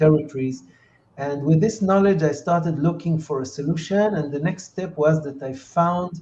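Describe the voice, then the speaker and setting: A man speaks at a moderate pace with a fairly high pitch and a dark, mellow tone. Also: ordinary pitch variation. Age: 60s. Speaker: entrepreneur and peace activist. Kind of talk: interview. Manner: halting, many fillers.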